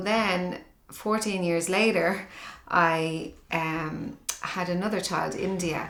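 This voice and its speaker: With a Dublin accent, a woman speaks at a medium pitch and a very slow pace with fairly even intonation, amid audible room echo and noticeable background noise. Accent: Dublin Irish. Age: 40s. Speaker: mother interviewed in documentary. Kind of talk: personal testimony interview.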